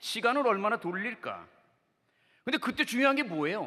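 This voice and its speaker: A man's raised, projected voice with a bright, sharp tone, lively intonation and a moderate pace. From Seoul, South Korea. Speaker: pastor. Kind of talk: sermon. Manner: animated.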